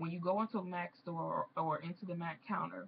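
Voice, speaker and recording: Somewhat breathy, a woman speaks at medium pitch and a fairly quick pace. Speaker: beauty vlogger; makeup artist. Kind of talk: casual vlog chat. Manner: animated.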